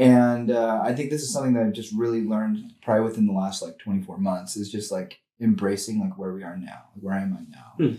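Here a man with an American accent talks at a fairly quick pace, leaving hardly any pauses. His pitch is medium. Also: ordinary pitch variation. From US, Spokane, Washington. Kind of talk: casual chat.

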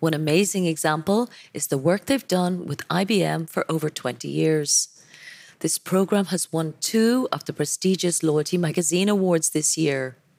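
In a dry, close sound with no echo, a woman with a low pitch and a slightly mellow tone speaks at a moderate pace with vocal fry and ordinary pitch variation.

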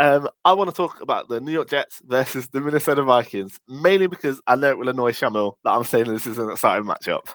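A man with an English accent, fairly high pitch, ordinary pitch variation, a very fast pace with hardly any pauses, and a dry, close sound with no echo. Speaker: podcast host. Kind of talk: casual chat.

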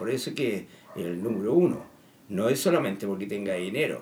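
Over noticeable background noise and audible room echo, a man's voice moves along at a fairly quick pace. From Chile. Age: 70s. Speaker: political commentator. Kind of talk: monologue. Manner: halting.

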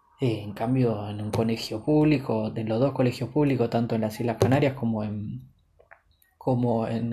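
This man has an Argentine accent, a dark, mellow tone that is somewhat breathy, and fairly even intonation. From Buenos Aires, Argentina. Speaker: podcaster. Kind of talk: personal monologue. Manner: halting, many repetitions and fillers.

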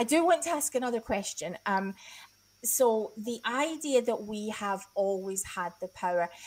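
A woman with an ordinary speaking voice, fairly high in pitch, fairly slow in pace and lively in intonation. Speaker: podcast host. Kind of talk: casual conversation hosting.

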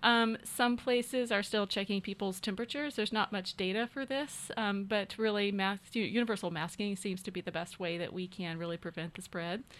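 A woman with an American accent and a normal speaking voice talks at a fairly quick pace and medium pitch, with ordinary pitch variation and hardly any pauses. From US South, Arkansas (Fort Smith, Ozarks). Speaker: neurosurgeon. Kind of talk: radio interview. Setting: radio studio.

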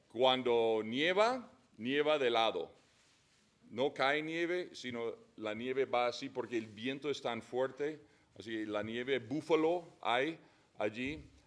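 The speaker has an English accent. The pace is very slow. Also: man, medium pitch for a man, ordinary pitch variation. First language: English (speaking Spanish). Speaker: missionary. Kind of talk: casual chat. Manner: halting.

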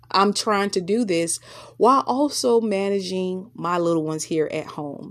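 In a very clean recording with a silent background, a woman with a Southern US accent speaks in an animated tone at a fairly slow pace, at a medium pitch with ordinary pitch variation. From US South. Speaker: podcast host, teacher and mother. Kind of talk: solo podcast monologue.

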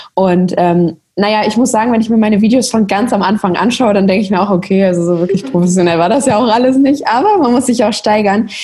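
A woman with a fairly high pitch talks at a very fast pace with hardly any pauses, ordinary pitch variation and very even loudness. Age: 20s. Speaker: social media creator. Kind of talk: interview.

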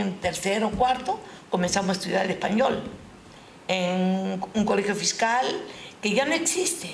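At a fairly slow pace, a woman speaks at a medium pitch with ordinary pitch variation and very even loudness. There is audible room echo. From Peru (Huaral, Callao), Japanese-Peruvian family. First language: Japanese (speaking Spanish). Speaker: retired schoolteacher. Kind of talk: interview. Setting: live stream.

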